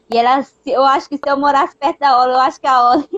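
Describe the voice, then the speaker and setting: A woman at a high pitch, dry and close with no echo. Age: 20s. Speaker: youtuber sharing her depression story. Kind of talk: personal testimony in casual chat. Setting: live stream. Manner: halting, many fillers.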